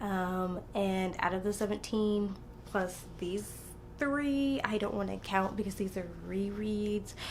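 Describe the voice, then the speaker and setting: A soft-spoken woman talks at a medium pitch. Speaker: book vlogger. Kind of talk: casual chat. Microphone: quiet audio, had to turn it up.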